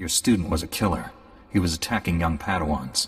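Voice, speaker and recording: A man growls in a put-on character voice with a very deep, low pitch. He goes at a fairly quick pace over clear background noise. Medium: video game. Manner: steady, self-assured.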